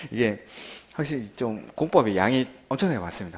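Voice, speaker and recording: Speaking at a fairly quick pace, a man moves through very wide pitch swings. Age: young. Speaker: real estate law exam lecturer. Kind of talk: lecture. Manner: fast; animated.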